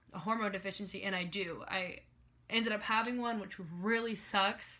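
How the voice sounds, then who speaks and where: A woman speaks with fairly even intonation. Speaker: reality TV contestant and vlogger. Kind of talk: casual vlog tutorial. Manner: chatty, many fillers.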